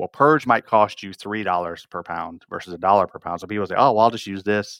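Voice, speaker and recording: In a plain, everyday voice with an American accent, a man talks at a fairly quick pace and fairly low pitch, with ordinary pitch variation and big swings in loudness against a quiet background. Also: dry, close sound with no echo. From northern Michigan, rural. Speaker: plastics manufacturing executive. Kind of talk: interview conversation.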